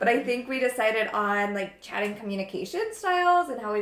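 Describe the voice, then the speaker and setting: Over noticeable background noise, a woman talks at a fairly quick pace and fairly high pitch with ordinary pitch variation. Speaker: yoga and wellness podcast host. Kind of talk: casual chat while baking. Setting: kitchen at sister's house. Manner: loud; animated.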